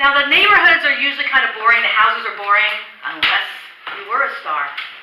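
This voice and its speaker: A woman with an American accent and very wide pitch swings, amid noticeable background noise and audible room echo. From Florida, Fort Lauderdale. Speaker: solo stage performer. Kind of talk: one-woman show monologue. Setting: stage with audience. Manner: animated storytelling.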